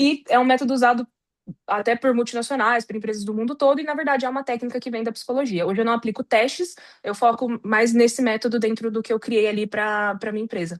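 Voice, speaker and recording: A woman's fairly high-pitched voice at a very fast pace, with ordinary pitch variation, in a dry, close sound with no echo and a quiet background. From Brazil, São Paulo. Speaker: recruitment consultant, psychologist. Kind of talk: interview.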